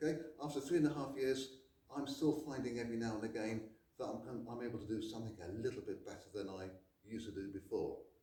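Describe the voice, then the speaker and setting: Very fast and somewhat breathy, a man speaks at a medium pitch with a dark, mellow tone. His pitch varies in an ordinary way, and there is audible room echo. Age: 60s. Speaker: karate instructor. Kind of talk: tutorial.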